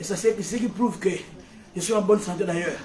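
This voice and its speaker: A man's high voice at a fairly quick pace, with music in the background and audible room echo. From Africa. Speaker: preacher. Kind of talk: sermon. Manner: loud, shouting; animated.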